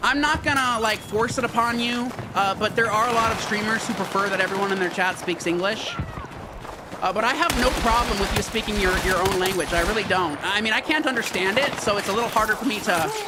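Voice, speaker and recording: In a raised, projected voice, a man speaks at a very fast pace with a high pitch, ordinary pitch variation and very even loudness, amid audible room echo and noticeable background noise. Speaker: gaming streamer. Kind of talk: live stream gameplay chat. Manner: casual, repetitive.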